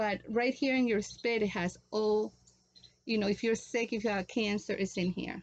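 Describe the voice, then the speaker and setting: Fairly even intonation at a moderate pace against a quiet background. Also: woman, fairly high pitch for a woman. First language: Spanish. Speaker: natural remedies vlogger. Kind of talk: tutorial. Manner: halting.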